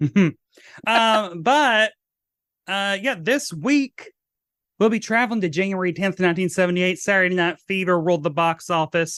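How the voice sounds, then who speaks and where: At a moderate pace, a man talks in a high-pitched voice with a bright, sharp tone. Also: ordinary pitch variation. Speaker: podcast host, drag queen. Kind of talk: casual chat.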